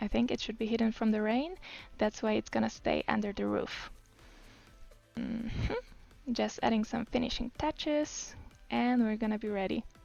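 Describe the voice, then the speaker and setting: Speaking at a moderate pace, a woman talks with a non-native accent. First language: not English. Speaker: game tutorial creator. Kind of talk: tutorial. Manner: casual, with fillers and hesitations.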